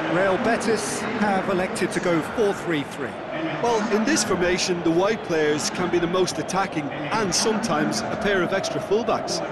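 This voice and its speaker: A man with a high pitch talks at a moderate pace with lively intonation, very even loudness and hardly any pauses, against noticeable background noise. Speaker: football pundit. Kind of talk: live football commentary, analyst. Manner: knowledgeable, conversational.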